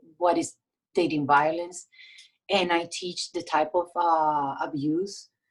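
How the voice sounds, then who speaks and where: With a Puerto Rican accent, a woman speaks in a very deep, low pitch at a fairly slow pace, her intonation monotone and flat. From Puerto Rico. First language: Spanish. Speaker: domestic violence victim advocate. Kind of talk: interview. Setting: podcast.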